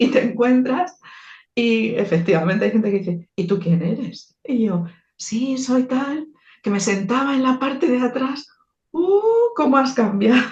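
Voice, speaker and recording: A woman speaks slowly with a high pitch. Her intonation is lively. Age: 60s. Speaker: theologian and icon painter. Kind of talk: interview. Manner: halting, with many repetitions.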